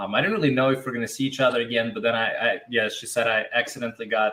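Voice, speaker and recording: In a Russian accent, a man speaks at a very fast pace. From Russia, small town. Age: 20s. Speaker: interviewee in couple interview. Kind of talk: casual interview.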